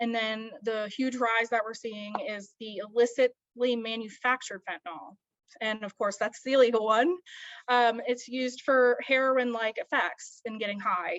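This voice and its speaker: With an American accent and an unremarkable speaking voice, a woman speaks at a moderate pace in a fairly high pitch, her intonation fairly even and the sound dry and close with no echo. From Baltimore, US. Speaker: graduate student presenter. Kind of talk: academic presentation. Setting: video call. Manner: many filler words (um, uh).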